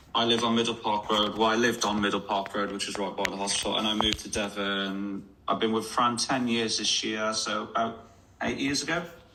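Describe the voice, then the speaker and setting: A man with a fairly low pitch talks at a fairly quick pace with fairly even intonation, amid noticeable background noise and audible room echo. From West Midlands, Dudley. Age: 30s. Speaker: amateur footballer in a weight-loss league. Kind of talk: radio interview.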